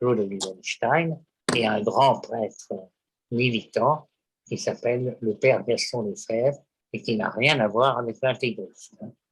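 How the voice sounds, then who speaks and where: A man talks at a very slow pace, sounding somewhat breathy. His voice sits at medium pitch with ordinary pitch variation. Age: 70s. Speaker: poet, publisher and psychoanalyst. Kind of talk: interview answer.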